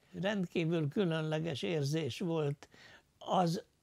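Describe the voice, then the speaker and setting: Against a quiet background, a man speaks with a fairly high pitch and ordinary pitch variation. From Losonc, Upper Hungary (southern Slovakia); Upper Hungary. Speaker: war veteran, former prisoner of war; interviewee. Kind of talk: testimony interview. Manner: halting, many filler sounds. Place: home room. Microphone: lapel.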